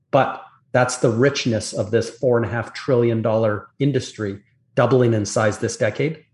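Against a quiet background, a man speaks at a moderate pace in a somewhat breathy voice with fairly even intonation. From Canada. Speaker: industry analyst. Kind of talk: interview.

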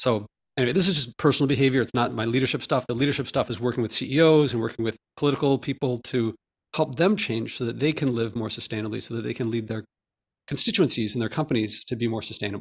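A man speaks at a very fast pace with a medium pitch, in an American accent, with ordinary pitch variation. The recording is very clean, with a silent background. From US Northeast, Philadelphia. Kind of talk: interview.

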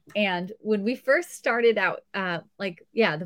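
Dry and close with no echo, a woman with an American accent and an unremarkable speaking voice talks fairly slowly at medium pitch with ordinary pitch variation. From Southern California. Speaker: treehouse resort owner. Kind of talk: interview.

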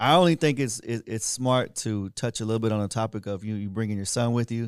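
A man's medium-pitched, normal speaking voice with fairly even intonation, dry and close with no echo, on a very clean recording with a silent background. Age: 30s. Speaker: podcast host. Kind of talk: casual interview.

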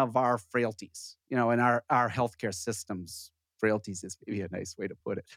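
With an American accent, a man talks in an ordinary speaking voice at medium pitch and a fairly slow pace, the sound dry and close with no echo on a very clean recording with a silent background. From US Minnesota. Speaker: internal medicine doctor and radio host.

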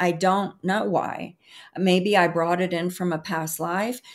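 Fairly slow speech from a woman with a Southern US accent, medium in pitch, fairly even in intonation, in a very clean recording with a silent background. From US South. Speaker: emotional healing educator and author. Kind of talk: interview.

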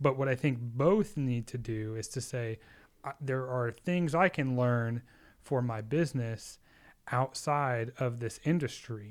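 A man with a plain, everyday voice talks at a fairly slow pace with medium pitch and ordinary pitch variation, captured on a very clean recording with a silent background. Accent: American. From Texas, Austin. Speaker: wedding and commercial filmmaker. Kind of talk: casual chat.

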